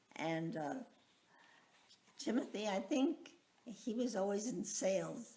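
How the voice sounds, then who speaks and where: In an American accent, a woman speaks very slowly in a somewhat breathy voice with very wide pitch swings. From Long Island, New York. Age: 80s+. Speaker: retiree telling her life story. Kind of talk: life story recollection. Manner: halting, many fillers.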